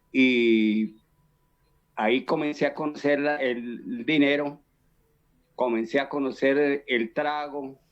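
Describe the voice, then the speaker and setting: At a very slow pace with long, frequent pauses, a man speaks in a fairly high pitch and fairly even intonation. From Colombia, Boyacá (Chiquinquirá). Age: 60s. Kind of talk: testimony. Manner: halting, many fillers and repetitions.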